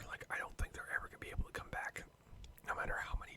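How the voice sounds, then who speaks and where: The whispering comes through noticeable background noise. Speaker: ASMR YouTuber / gamer. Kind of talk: casual chatty commentary over gameplay, ASMR channel. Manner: casual, conversational, ranting, laughing; whispered, soft-spoken.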